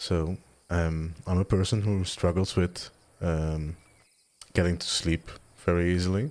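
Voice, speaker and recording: A soft-spoken man with a very deep, low pitch and calm tone, fairly even intonation, fairly slow pace and long, frequent pauses. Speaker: gaming video creator. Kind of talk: soft-spoken gameplay commentary. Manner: soft-spoken, calm; rambling, hesitant.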